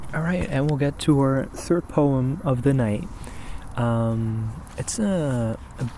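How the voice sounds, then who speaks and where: Against noticeable background noise, a man speaks fairly slowly in a calm, relaxed tone with ordinary pitch variation. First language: not English. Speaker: poetry reader and video host. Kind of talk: casual chat to camera between poetry readings. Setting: outdoors in an empty parking lot at night. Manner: relaxed, halting with fillers; soft, calm.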